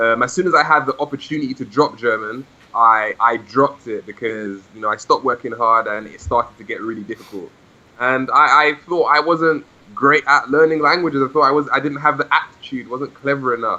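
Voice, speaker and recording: Speaking fairly quickly, a man with a London accent has a bright, sharp tone. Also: medium pitch for a man, ordinary pitch variation. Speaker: language learner and podcast host. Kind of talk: interview. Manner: hesitant, many repetitions.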